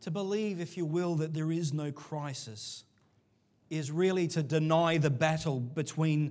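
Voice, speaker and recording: Recorded very cleanly against a silent background, a man speaks with a fairly high pitch. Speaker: pastor. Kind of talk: sermon. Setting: church. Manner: animated, varies pitch and volume; loud.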